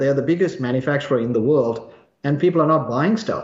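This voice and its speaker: A man speaks at medium pitch and a fairly quick pace. His voice is somewhat breathy, with lively intonation. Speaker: market analyst. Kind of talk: interview.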